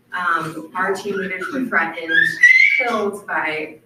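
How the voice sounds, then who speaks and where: Someone speaks in a Michigan accent, with audible room echo and noticeable background noise. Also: woman. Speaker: missionary. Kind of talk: church presentation.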